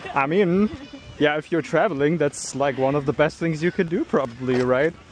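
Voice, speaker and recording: At a moderate pace, a man with fairly high pitch talks with ordinary pitch variation over noticeable background noise. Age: 20s. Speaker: dating coach. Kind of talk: casual chat.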